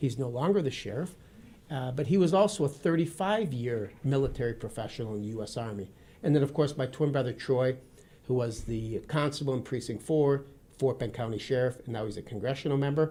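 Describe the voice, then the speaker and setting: Dark and mellow in tone, the voice is somewhat breathy, with lively intonation. It moves at a fairly quick pace in an American accent. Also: man, medium pitch for a man. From Wisconsin, US Midwest. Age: 50s. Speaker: retired army officer and former police officer. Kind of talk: interview. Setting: studio.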